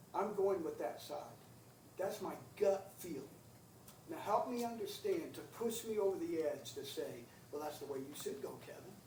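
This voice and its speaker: In a room with audible echo, a man speaks at a moderate pace, leaving long, frequent pauses. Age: 60s. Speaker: county council member. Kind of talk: public meeting discussion. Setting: county council meeting.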